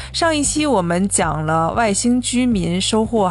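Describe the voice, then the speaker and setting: A woman speaks with audible room echo and noticeable background noise. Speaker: film podcast host. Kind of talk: casual chat. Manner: loud.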